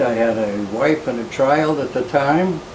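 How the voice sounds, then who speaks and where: Someone speaks very slowly in a Boston accent. The recording has noticeable background noise and audible room echo. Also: man. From Boston area, Massachusetts. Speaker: retired law librarian and law professor. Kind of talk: oral history interview. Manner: halting, many fillers.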